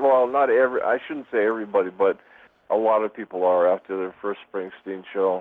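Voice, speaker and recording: A man with an American accent speaks at a fairly quick pace in an ordinary speaking voice, his pitch fairly low with ordinary pitch variation. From Boston, Massachusetts. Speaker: music fan. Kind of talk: casual chat.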